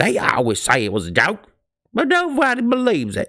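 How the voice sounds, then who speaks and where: In a put-on character voice, someone growls in a gruff tone at a fairly quick pace, on a very clean recording with a silent background. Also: man. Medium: read story. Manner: gruff, growling.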